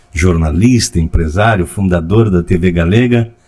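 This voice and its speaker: Lively intonation marks a man's voice. He talks at a fairly slow pace. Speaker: podcast host. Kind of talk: casual talk.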